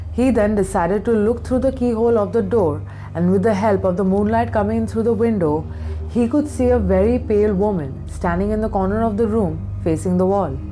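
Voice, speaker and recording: Very wide pitch swings mark this fairly quick speech, with music playing in the background. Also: woman. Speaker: makeup artist. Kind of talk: horror story narration.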